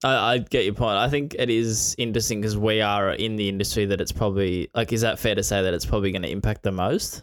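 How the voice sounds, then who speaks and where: In an Australian accent, a man with a fairly low pitch talks at a very fast pace with hardly any pauses and fairly even intonation, on a very clean recording with a silent background. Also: very even loudness. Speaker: podcast co-host, sports content creator. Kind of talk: casual chat.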